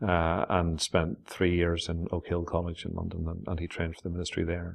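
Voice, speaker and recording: In a Northern Irish accent, the voice runs at a fairly quick pace with monotone, flat intonation over a quiet background. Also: man. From Northern Ireland. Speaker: pastor. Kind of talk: interview answer.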